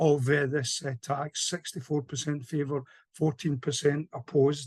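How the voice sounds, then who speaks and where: A somewhat breathy, fairly high male voice at a moderate pace, in a dry, close sound with no echo. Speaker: campaigner. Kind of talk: panel talk.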